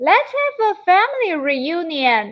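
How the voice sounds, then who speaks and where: Putting on a character voice, a woman speaks at an extremely high pitch with very wide pitch swings and a fairly slow pace. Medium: read story.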